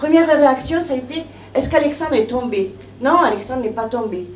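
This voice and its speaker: A shaky woman's voice, high-pitched and at a fairly quick pace, comes with audible room echo and noticeable background noise. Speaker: bereaved mother giving testimony. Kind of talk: testimony. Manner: emotional, trembling.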